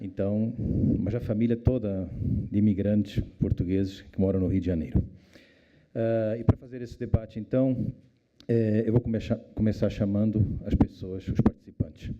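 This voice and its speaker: A man speaks at a moderate pace with fairly even intonation. He takes long, frequent pauses. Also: fairly low pitch for a man. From born in Portugal, raised in Africa. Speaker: debate moderator, former newspaper editor. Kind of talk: panel moderation. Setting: stage with audience.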